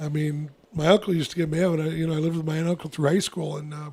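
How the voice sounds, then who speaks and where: Speaking at a very fast pace, a man with an American accent talks in a high pitch. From Arizona. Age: 60s. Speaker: radio host and youth sports coach. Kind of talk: casual chat.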